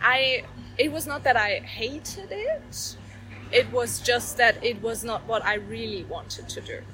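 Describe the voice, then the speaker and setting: The speech comes in a German accent at a fairly slow pace, with big swings in loudness. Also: woman. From Germany. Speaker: coach, former lawyer. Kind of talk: interview. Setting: Bali. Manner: hesitant, many fillers.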